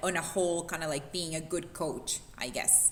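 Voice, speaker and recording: A woman with an animated tone. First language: not English. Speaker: fitness coach. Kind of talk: panel discussion.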